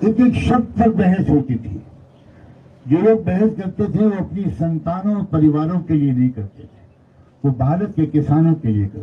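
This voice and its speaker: With a dark, mellow tone, a man talks at a fairly high pitch with very wide pitch swings. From Uttar Pradesh, India. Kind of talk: press conference speech.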